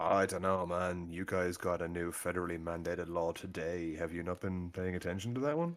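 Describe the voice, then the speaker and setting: Over music in the background, a man with an Irish accent speaks at a fairly quick pace, his very deep, low pitch held to fairly even intonation. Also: hardly any pauses. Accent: Irish, noticeable. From Ireland. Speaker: gaming stream guest. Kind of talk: casual chat. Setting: live stream.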